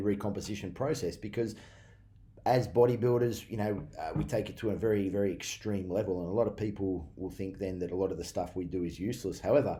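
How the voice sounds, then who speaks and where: Speaking very fast with an Australian accent, a man has a fairly low, dark, mellow tone that is somewhat breathy, with audible room echo. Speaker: personal trainer and bodybuilder. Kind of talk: casual vlog talk.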